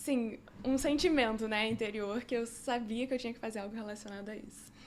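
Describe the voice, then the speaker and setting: A woman talks in an unremarkable speaking voice, fairly high in pitch with fairly even intonation. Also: big swings in loudness. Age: 20s. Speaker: medical student. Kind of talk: podcast interview. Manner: casual, filler-heavy.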